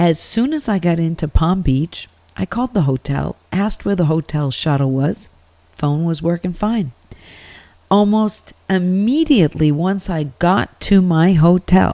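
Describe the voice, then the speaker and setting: A woman's fairly low, dark, mellow voice with lively intonation, at a fairly slow pace, in a dry, close sound with no echo. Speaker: podcast host. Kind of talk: casual podcast monologue.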